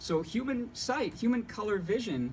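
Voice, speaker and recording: This man's voice is somewhat breathy. His intonation stays lively. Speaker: painter and art teacher. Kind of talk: talk to an audience. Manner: fast; jittery.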